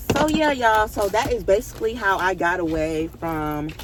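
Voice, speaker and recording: A woman speaks over noticeable background noise. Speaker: storytime vlogger. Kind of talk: casual storytelling. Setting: in a car. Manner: fast.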